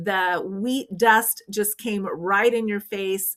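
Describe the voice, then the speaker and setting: A woman with a Midwestern US accent speaks very slowly at a medium pitch, her intonation fairly even. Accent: US Midwest. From rural Kansas. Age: 60s. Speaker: retired frugal living vlogger. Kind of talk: casual vlog talk. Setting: at home, windows open.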